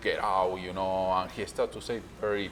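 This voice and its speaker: The speaker is a man with a fairly low pitch. His voice carries audible room echo. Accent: Argentine. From Argentina. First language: Spanish. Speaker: restaurant owner. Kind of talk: interview. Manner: halting.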